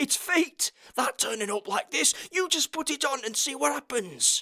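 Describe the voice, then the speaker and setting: In a put-on character voice pitched extremely high, a man speaks at a moderate pace. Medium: read story.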